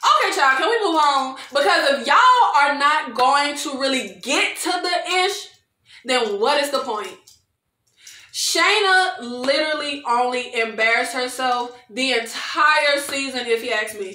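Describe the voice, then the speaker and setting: A woman with a high pitch and a bright, sharp tone speaks in a raised, projected voice at a fairly slow pace. Her intonation is lively, her tone animated, and audible room echo surrounds her. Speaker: video creator reviewing TV shows. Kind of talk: angry rant, indignant recap and commentary on reality TV. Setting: solo video recording. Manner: animated, exasperated, indignant, emphatic with repeated 'child' and 'y'all'. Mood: exasperated, opinionated.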